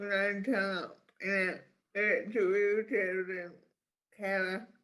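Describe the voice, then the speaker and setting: With a bright, sharp tone, a man speaks very slowly at a high pitch. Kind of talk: casual panel discussion.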